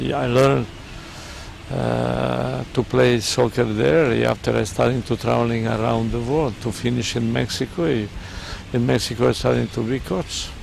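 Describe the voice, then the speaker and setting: Over music in the background, a man with a Serbian accent talks at a moderate pace. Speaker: football coach. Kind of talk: interview. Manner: halting.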